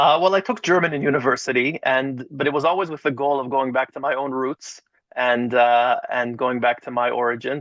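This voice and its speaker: A man's plain, everyday voice at a medium pitch and moderate pace. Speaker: rabbi and educator. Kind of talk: interview.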